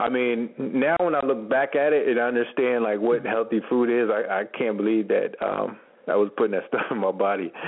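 In a normal speaking voice, the speech moves at a fairly quick pace with hardly any pauses, ordinary pitch variation and very even loudness. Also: man, medium pitch for a man. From US Northeast (Camden, New Jersey, near Philadelphia). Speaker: automotive media entrepreneur, former college football player. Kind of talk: radio interview.

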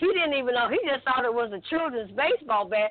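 Her high-pitched voice swings very widely in pitch as a woman speaks over noticeable background noise. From Alabama. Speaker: gospel singer. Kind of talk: testimony.

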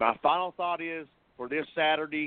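A man at a moderate pace, his voice fairly high for a man, the pitch moving in an ordinary way

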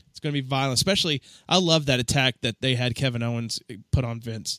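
In a very clean recording with a silent background, a man speaks at a moderate pace in an ordinary speaking voice. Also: dry, close sound with no echo. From Memphis area, US South. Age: 30s. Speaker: podcast host. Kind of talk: monologue tribute; casual chat.

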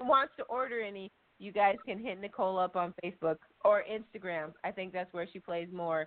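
Here is a woman with an unremarkable speaking voice. Her pitch is medium and her pace moderate. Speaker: podcast host. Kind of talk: casual chat.

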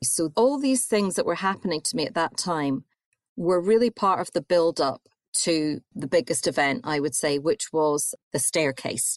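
With an Edinburgh accent, a woman of fairly low pitch swings her pitch very widely at a moderate pace, in a dry, close sound with no echo and a quiet background. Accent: Scottish (Edinburgh). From Scotland, Edinburgh. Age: 40s. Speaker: author and journalist. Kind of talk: interview. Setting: remote call.

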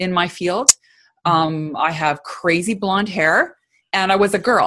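Speaking at a fairly slow pace, a woman uses a medium pitch with ordinary pitch variation in a plain, everyday voice. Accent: Canadian. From Canada, small town in Alberta. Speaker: leadership consultant. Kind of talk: interview conversation.

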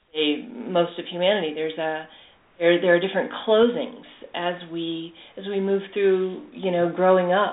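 A woman speaks at a moderate pace with a fairly low pitch. Her pitch varies in an ordinary way, and she has an ordinary speaking voice. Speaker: animal communicator. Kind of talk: casual interview chat.

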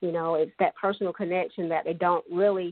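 This is an ordinary speaking voice with fairly even intonation. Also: woman. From Pee Dee region, South Carolina. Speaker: high school sports media host. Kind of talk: radio interview.

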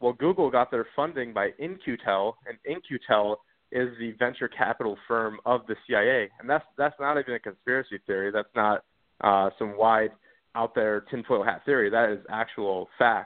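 Speaking at a moderate pace, a man has a normal speaking voice with medium pitch and ordinary pitch variation. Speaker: call-in guest. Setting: phone call.

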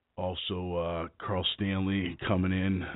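The pitch of this man's voice is very deep and low. He talks at a very slow pace. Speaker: radio show host and arm wrestler. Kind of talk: casual podcast talk. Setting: internet radio show. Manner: hesitant, many fillers.

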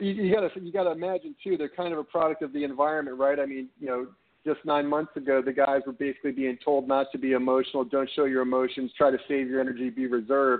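Speaking at a very fast pace with hardly any pauses, a man uses a fairly high pitch and ordinary pitch variation. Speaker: caller, football fan. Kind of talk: call-in sports talk. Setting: phone call.

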